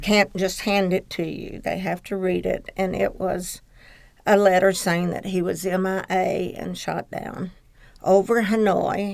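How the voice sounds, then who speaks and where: A woman speaks in a Southern US accent at a fairly slow pace. Her medium-pitched delivery is monotone and flat. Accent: Southern American. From Blytheville, Arkansas, USA. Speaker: military spouse, former teacher. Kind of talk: oral history interview answer.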